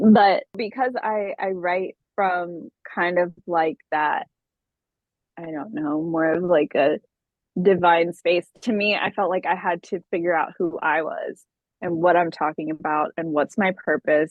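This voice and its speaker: A woman with an unremarkable speaking voice, fairly low in pitch, at a fairly slow pace and with ordinary pitch variation. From US, Austin Texas, Ethiopian immigrant family. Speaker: singer-songwriter. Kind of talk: interview. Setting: podcast interview. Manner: casual, many fillers and restarts.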